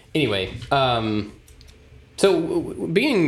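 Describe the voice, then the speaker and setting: Noticeable background noise runs behind a man speaking with an American accent. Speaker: podcast co-host, maker. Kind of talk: casual chat. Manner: energetic, amped up.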